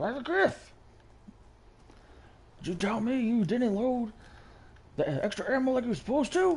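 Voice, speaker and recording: A put-on character voice, fairly high in pitch, breaks up its lines with long, frequent pauses. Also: moderate pace. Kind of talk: military, commanding. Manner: gruff, accusing.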